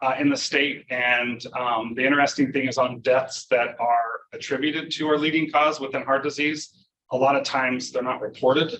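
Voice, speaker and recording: Loud and monotone, a man with a medium-pitched, bright, sharp tone speaks at a moderate pace with hardly any pauses. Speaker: professor. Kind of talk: lecture. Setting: conference talk with audience.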